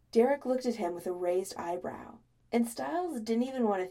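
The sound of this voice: This is an unforced reading voice. It reads aloud.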